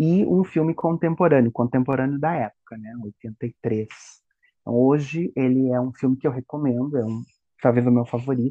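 Here is a man with a plain, everyday voice, set at a medium pitch. His delivery moves at a moderate pace, and the pitch varies in an ordinary way. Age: 40s. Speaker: teacher. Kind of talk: casual chat.

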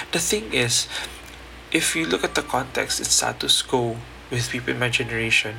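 Noticeable background noise sits under a man's voice as he talks at a moderate pace. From Philippines, Mindanao. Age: young. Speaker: podcast host, young farming entrepreneur. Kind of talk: solo podcast monologue. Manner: hesitant, with fillers and restarts.

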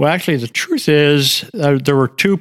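This man has an American accent. The pitch varies in an ordinary way. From US Midwest, Ohio (Lima). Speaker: retired education professor. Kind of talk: interview. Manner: halting.

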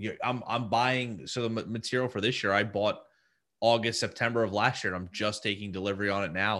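Here a man with an American accent talks at a very fast pace. His fairly low pitch stays in fairly even intonation. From New Jersey. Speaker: luxury pool designer and business owner. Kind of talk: casual interview.

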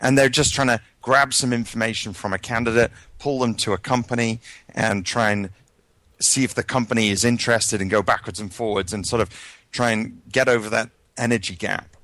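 An American-accented man with a medium pitch and a bright, sharp tone talks at a fairly quick pace with fairly even intonation. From UK. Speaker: tech recruiter and jobs board founder. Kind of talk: casual interview. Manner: halting, many fillers and repeats.

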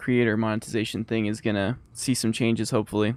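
A man's plain, everyday voice at a medium pitch and a fairly quick pace. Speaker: podcast co-host, college student. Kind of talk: casual chat.

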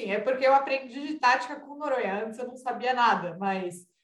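With audible room echo, a woman talks at a moderate pace in a high voice with lively intonation. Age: young. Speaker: sports and politics journalist. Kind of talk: casual chat.

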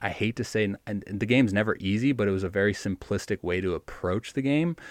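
Against a quiet background, the voice has ordinary pitch variation, with a dry, close sound and no echo. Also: man. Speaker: professional baseball pitcher. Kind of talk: interview. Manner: animated.

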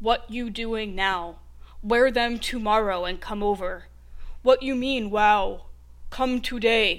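A woman puts on a character voice at a fairly high pitch. She speaks at a fairly slow pace with fairly even intonation. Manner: dumb, blunt.

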